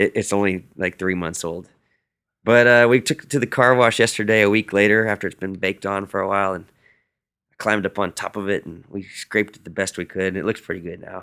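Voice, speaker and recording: A man with a Texan accent talks at a fairly quick pace and a fairly low pitch, with a bright, sharp, energetic tone and big swings in loudness. The sound is dry and close with no echo, on a very clean recording with a silent background. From Central Texas, near San Marcos. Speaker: musician. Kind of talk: interview. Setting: hotel room.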